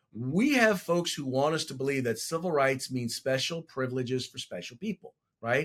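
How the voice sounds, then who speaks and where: Here a man talks with a Californian accent. His pace is moderate. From California, San Francisco Bay Area. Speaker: congressional candidate and school board member. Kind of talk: interview.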